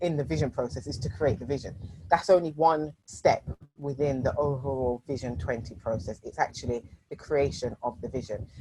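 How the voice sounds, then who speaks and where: A woman speaks with a very deep, low pitch and vocal fry. Her tone is dark and mellow, at a moderate pace. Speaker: strategy and innovation coach. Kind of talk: workshop presentation.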